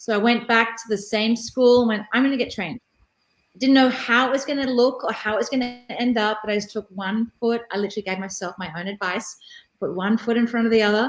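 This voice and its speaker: Speaking fairly quickly with a fairly high pitch, a woman uses fairly even intonation in an Australian accent. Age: 50s. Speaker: career coach. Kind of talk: interview conversation.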